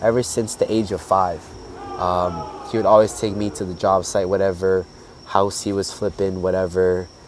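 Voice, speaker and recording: A man's very deep, low voice with ordinary pitch variation over noticeable background noise. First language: Spanish. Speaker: social entrepreneur. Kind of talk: casual chat. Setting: outdoors.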